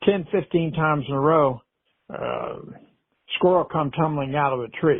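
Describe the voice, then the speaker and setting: A man's relaxed tone with ordinary pitch variation and long, frequent pauses. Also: fairly high pitch for a man, moderate pace. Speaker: storyteller. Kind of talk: podcast storytelling. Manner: relaxed, folksy.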